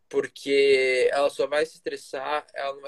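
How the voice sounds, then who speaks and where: The voice comes across dry and close, with no echo, in a monotone, flat intonation. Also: man. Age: 20s. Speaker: nutrition student, former footballer. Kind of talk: casual interview chat.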